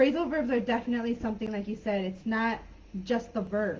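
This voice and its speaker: The speaker has an American accent and sounds somewhat breathy. The pace is fairly quick. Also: woman. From San Diego-Tijuana border, US/Mexico. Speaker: online English teacher. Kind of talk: live online class chat. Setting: live video call.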